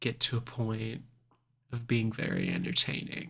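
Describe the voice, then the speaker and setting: A soft-spoken man with a bright, sharp tone, at a very slow pace. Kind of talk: ASMR soft-spoken talk to camera.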